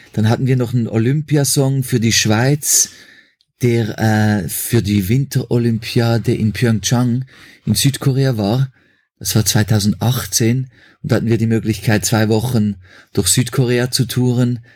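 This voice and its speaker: A man speaks at a fairly slow pace in a somewhat breathy voice. His loudness stays very even, and his intonation is fairly even. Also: medium pitch for a man. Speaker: musician. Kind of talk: interview. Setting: remote call.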